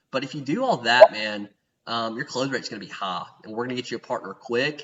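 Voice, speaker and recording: A man with a medium-pitched voice speaks at a fairly quick pace. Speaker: podcast host and startup advisor. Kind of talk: casual advisory interview. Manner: fast; animated.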